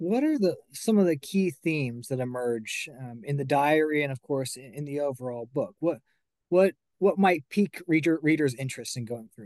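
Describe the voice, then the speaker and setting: A man with a plain, everyday voice speaks at a fairly high pitch, his intonation lively and his loudness making big swings. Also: moderate pace. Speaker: podcast host. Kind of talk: interview. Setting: studio.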